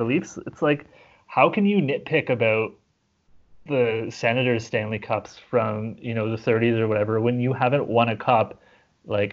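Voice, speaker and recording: An unremarkable speaking voice at a moderate pace, with ordinary pitch variation. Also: man, medium pitch for a man. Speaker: podcast guest, sports fan. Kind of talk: casual chat.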